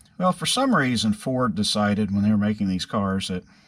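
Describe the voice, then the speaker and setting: A man with a plain, everyday voice, fairly low in pitch and at a fairly quick pace, in a very clean recording over a silent background. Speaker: car restorer. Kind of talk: workshop tutorial. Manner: casual, rambling with fillers.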